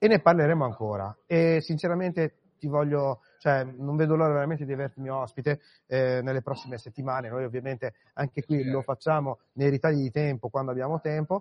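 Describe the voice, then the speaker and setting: Using a normal speaking voice, a man talks at a fairly quick pace and a fairly high pitch with ordinary pitch variation. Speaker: podcast host. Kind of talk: live event interviews. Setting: conference floor.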